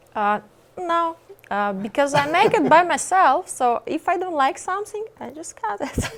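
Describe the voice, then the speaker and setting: Over noticeable background noise, a woman with a Russian accent speaks at a moderate pace in an extremely high voice, with very wide pitch swings and big swings in loudness. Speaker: singer, model and actress. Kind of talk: interview. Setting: TV studio with audience. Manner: halting.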